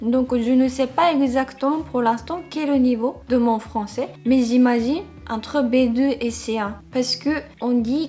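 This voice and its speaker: With fairly even intonation, a woman speaks very slowly in a high-pitched voice. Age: 30s. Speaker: vlogger. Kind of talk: casual talk to camera.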